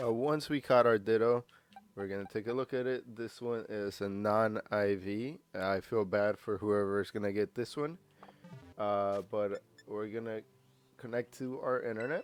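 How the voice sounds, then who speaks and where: Fairly even intonation carries a man's speech at a moderate pace. Music plays in the background. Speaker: gaming guide creator. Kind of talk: game tutorial voiceover. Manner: casual, filler-heavy.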